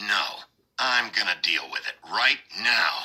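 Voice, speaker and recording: A man puts on a growling character voice. He delivers it at a fairly slow pace. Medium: video game. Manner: blunt, gruff.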